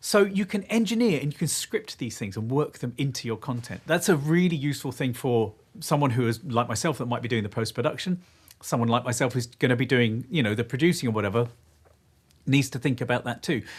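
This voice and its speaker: Speaking very fast in an English accent, a man with a medium pitch, lively intonation and a somewhat breathy voice comes through on a very clean recording with a silent background. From England. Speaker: video producer and content creator. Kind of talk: live stream panel discussion.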